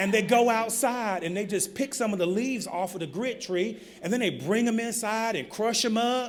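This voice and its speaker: A man with a Southern accent talks in an animated tone at a high pitch with ordinary variation, a moderate pace and hardly any pauses. Room echo is audible. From US South, North Carolina. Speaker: keynote speaker, public health nonprofit director. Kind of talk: conference keynote speech. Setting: conference podium with audience. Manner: animated storytelling, informal.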